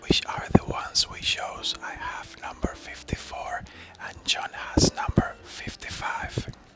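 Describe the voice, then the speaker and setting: Someone is whispering at a fairly slow pace over noticeable background noise. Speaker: travel vlogger. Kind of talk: travel vlog narration. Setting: shared capsule hostel room.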